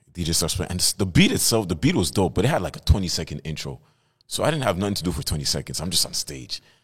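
A man talks very fast with a very deep, low pitch, lively intonation and vocal fry. The recording is very clean with a silent background. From Montreal, Quebec (NDG). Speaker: rapper and entrepreneur. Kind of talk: casual interview chat.

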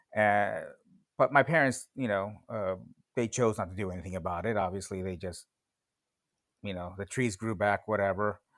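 Over a silent background in a very clean recording, a man speaks at a fairly low pitch with ordinary pitch variation. His moderate pace is broken by long, frequent pauses. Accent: Californian. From US West Coast (West San Fernando Valley, Los Angeles). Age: 40s. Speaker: guest. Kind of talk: casual interview conversation. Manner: halting, many fillers.

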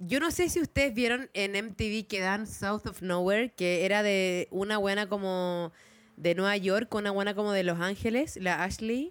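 A woman speaks at medium pitch and a fairly slow pace. Her loudness stays very even, with ordinary pitch variation. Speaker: podcast co-host. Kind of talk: casual chat.

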